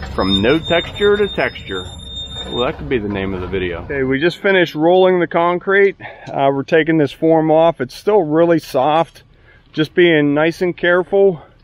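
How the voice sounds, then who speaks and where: With noticeable background noise behind him, a man with an American accent speaks at a moderate pace with lively intonation. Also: fairly high pitch for a man. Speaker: concrete contractor. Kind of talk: on-site tutorial. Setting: outdoors on a construction site. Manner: casual, instructive.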